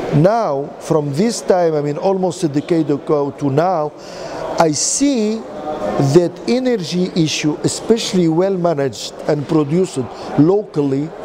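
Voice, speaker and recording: A man with a fairly high pitch and lively intonation talks at a fairly slow pace, with noticeable background noise and audible room echo. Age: 60s. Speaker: physician and renewable energy chairman. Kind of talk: interview. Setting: energy forum event. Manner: halting.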